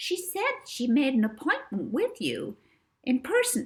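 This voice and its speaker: A woman does a put-on character voice, high-pitched and squeaky. She speaks at a fairly slow pace. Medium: read story.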